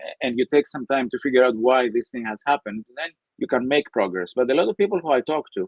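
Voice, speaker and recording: The speaker talks at a very fast pace with a Greek accent. The intonation is lively. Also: man, fairly high pitch for a man. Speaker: professor. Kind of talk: interview.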